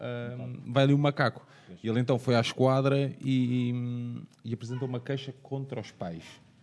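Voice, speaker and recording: A man with an ordinary speaking voice, medium pitch, moderate pace and fairly even intonation. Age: 30s. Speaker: podcast host. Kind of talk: podcast discussion.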